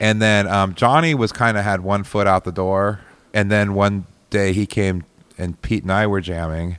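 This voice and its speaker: A man with a normal speaking voice and an American accent speaks at a fairly low pitch and a moderate pace with ordinary pitch variation, on a very clean recording with a silent background. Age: 40s. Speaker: musician. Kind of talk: casual chat.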